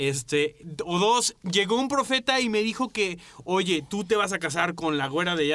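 A man with a bright, sharp tone speaks at a fairly slow pace with lively intonation. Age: 30s. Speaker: podcast co-host. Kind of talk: casual chat.

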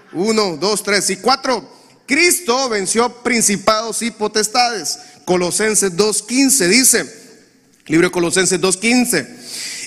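Noticeable background noise sits behind a man with a high pitch. He speaks at a very slow pace with lively intonation. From Honduras. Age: 40s. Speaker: pastor. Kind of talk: sermon.

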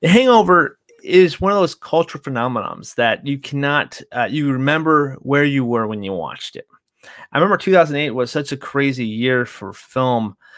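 A man speaks in an ordinary speaking voice at a moderate pace. His pitch is fairly high, his intonation lively, and his loudness swings widely. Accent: American. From California. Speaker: movie podcast host. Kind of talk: casual chat.

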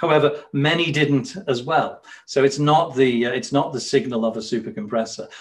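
A man with a northern English accent talks at a moderate pace in a fairly high voice with ordinary pitch variation. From northern England. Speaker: watch company co-founder. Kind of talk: interview. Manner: hesitant, many fillers.

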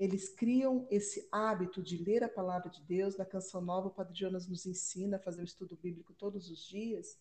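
Somewhat breathy, a woman speaks at a medium pitch in a dark, mellow tone with ordinary pitch variation. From Brazil, Campinas (São Paulo state). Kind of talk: casual religious discussion.

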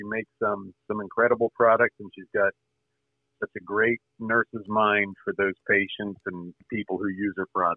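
The man's voice sits fairly low with monotone, flat intonation. His loudness swings widely. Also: moderate pace. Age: 50s. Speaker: caller, military veteran. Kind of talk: call-in conversation.

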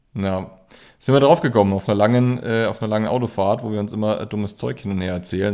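Speaking at a very fast pace, a man has a fairly low pitch, a dark, mellow tone and ordinary pitch variation. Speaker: podcast co-host. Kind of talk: casual chat. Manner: halting, many fillers and repetitions.

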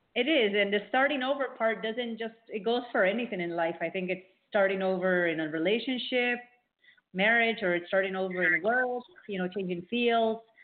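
At a moderate pace, a woman speaks fairly high in pitch with ordinary pitch variation. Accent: American. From South Florida (Miami), Peruvian family. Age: 40s. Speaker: journalist. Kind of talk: casual interview.

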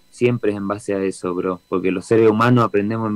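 A man with a Rioplatense accent, very fast, with fairly even intonation, in a dry, close sound with no echo and a quiet background. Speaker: reggae band singer. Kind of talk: interview. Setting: video call from home studio.

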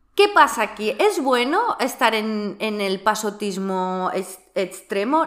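A woman speaks over background music, her pitch swinging very widely. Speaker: personal development podcast host. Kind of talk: casual chat.

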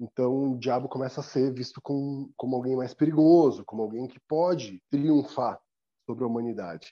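Using a normal speaking voice, a man talks at a medium pitch and a moderate pace with ordinary pitch variation and big swings in loudness. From Brazil, São Paulo city. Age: 40s. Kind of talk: interview.

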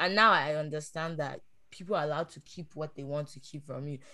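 A woman speaks at a very fast pace. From Nigeria. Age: 20s. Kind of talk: casual chat.

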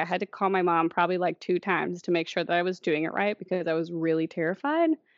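A woman with a Midwestern American accent at a fairly quick pace. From Indiana. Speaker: podcast co-host. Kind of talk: casual chat.

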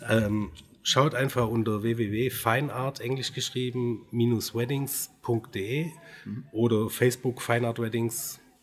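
Somewhat breathy and medium in pitch, a man talks at a very slow pace with fairly even intonation. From Swabia, Baden-Württemberg (Göppingen). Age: 40s. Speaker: wedding photographer. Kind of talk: casual interview.

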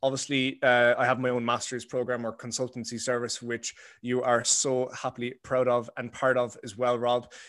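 Someone with an Irish accent speaks at a moderate pace against a quiet background. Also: man. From Ireland. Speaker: brain and performance coach. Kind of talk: podcast interview. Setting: remote call.

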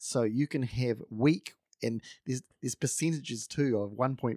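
Recorded very cleanly with a silent background and a dry, close sound with no echo, a man with a New Zealand accent talks at medium pitch with fairly even intonation. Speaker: podcast co-host. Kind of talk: casual podcast chat about coffee.

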